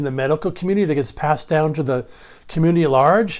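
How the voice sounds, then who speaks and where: A man speaks with an unremarkable speaking voice. His pitch is fairly high, with ordinary variation. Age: 60s. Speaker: holistic health educator. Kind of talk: educational monologue. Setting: recorded video.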